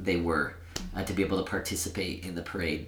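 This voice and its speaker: Audible room echo surrounds the man as he talks. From Sacramento, California. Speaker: nonprofit director. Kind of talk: podcast interview.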